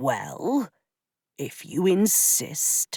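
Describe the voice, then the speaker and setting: A put-on character voice at a middle pitch. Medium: read story. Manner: affable, easygoing.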